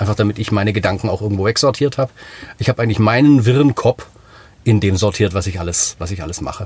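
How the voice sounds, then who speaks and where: Very fast and fairly low in pitch, a man speaks with ordinary pitch variation. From Swabia, Germany (Sachsenheim). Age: 40s. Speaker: singer-songwriter and author. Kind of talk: casual interview chat.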